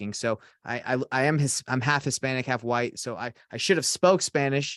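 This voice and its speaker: In an ordinary speaking voice, a man talks at a medium pitch and a moderate pace with an American accent. The sound is dry and close with no echo, over a quiet background. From US South, Atlanta Georgia. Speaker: real estate investor and coach. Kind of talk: podcast interview.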